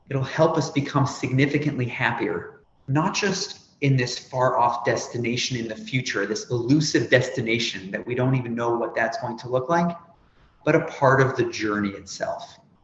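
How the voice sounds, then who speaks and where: A man talks at a moderate pace with a medium pitch and ordinary pitch variation. The room echo is audible. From Canada, Toronto. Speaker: nonprofit executive and speaker who stutters. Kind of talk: interview. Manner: animated, dramatic intonation.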